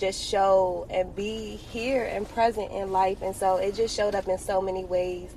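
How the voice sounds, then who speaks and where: A woman with an American accent at a moderate pace, with noticeable background noise behind her. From Washington, D.C. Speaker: entrepreneur and realtor. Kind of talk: podcast interview.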